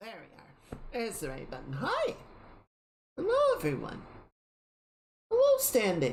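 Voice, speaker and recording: Speaking at a fairly slow pace, a woman leaves long, frequent pauses, her loudness swings widely, and room echo can be heard. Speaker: streamer. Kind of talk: casual chat. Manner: halting.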